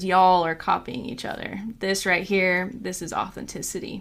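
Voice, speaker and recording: A woman puts on a raspy character voice in a Southern accent. Her pitch is medium and her pace moderate. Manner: sweet.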